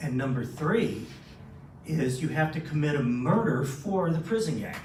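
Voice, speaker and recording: A man with an American accent speaks fairly slowly at a fairly high pitch with lively intonation. Audible room echo and noticeable background noise are in the recording. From Southern California. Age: 60s. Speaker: former police officer, anti-trafficking speaker. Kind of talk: talk to a men's breakfast audience. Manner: conversational, interactive.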